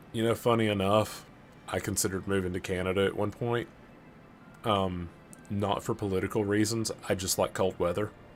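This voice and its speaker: With music in the background, a man talks at a fairly quick pace in a fairly low pitch, leaving long, frequent pauses. His intonation is monotone and flat, and his loudness stays very even. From US South, Alabama. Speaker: gaming streamer. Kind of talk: live stream chat with viewers. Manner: casual, conversational.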